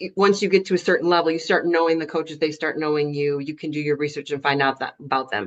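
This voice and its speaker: Talking very fast with hardly any pauses, a woman uses a very deep, low pitch and ordinary pitch variation. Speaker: soccer referee. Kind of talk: video call panel. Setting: video call.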